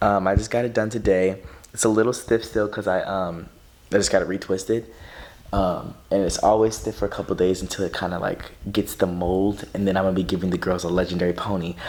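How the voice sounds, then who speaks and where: Quiet and very deep, a man's low voice moves at a fairly quick pace. His intonation stays fairly even. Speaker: vlogger. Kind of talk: casual vlog. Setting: at home at night. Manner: fast.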